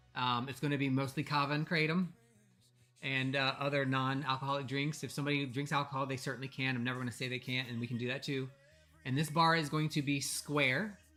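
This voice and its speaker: A man with a fairly high pitch speaks very fast. Music plays behind him. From Virginia, Norfolk area. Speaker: podcast co-host. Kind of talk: casual chat. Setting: live stream with video call participants. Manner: animated.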